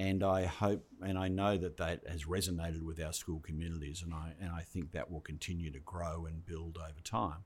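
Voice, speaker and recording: Over a silent background in a very clean recording, a man with a very deep, low pitch speaks at a moderate pace, somewhat breathy, monotone and flat, with hardly any pauses. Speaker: education department head. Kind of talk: interview podcast.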